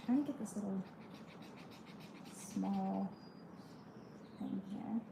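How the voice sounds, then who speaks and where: Someone soft-spoken talks very slowly against noticeable background noise. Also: woman. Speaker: content creator livestreaming. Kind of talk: casual livestream chat.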